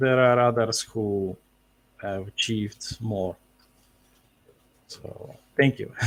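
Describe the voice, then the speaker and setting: A man with a medium pitch speaks at a very slow pace, leaving long, frequent pauses. His intonation is fairly even, but his loudness swings widely. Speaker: author. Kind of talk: interview. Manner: halting, many fillers.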